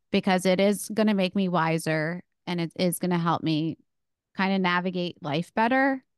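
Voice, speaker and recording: A normal speaking voice at a moderate pace, with ordinary pitch variation, over a quiet background. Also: woman, fairly low pitch for a woman. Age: 30s. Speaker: speech pathologist and run coach. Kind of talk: interview.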